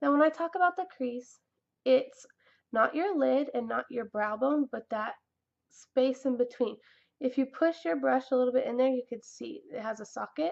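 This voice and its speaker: A woman's high voice with lively intonation. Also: moderate pace. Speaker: makeup vlogger. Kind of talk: tutorial. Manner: halting, many fillers; casual.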